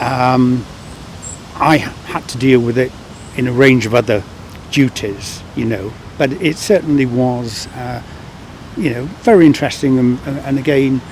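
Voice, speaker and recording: A man with a medium pitch talks at a fairly slow pace with long, frequent pauses. Noticeable background noise runs underneath. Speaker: former international affairs worker. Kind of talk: oral history interview.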